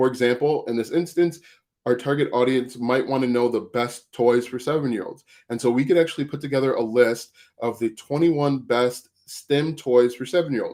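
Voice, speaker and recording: A man speaks at a medium pitch with a dark, mellow tone. His intonation stays fairly even. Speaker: affiliate marketing coach. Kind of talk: livestream tutorial. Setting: YouTube livestream. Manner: fast.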